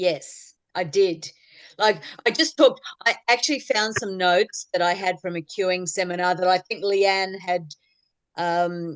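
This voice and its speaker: In an Australian accent, a woman speaks with ordinary pitch variation. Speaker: clogging club leader. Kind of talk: casual chat.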